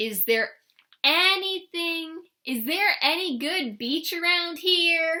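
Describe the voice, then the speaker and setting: In a put-on character voice, a woman speaks at an extremely high pitch with lively intonation. Her pace is very slow. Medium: read story. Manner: friendly.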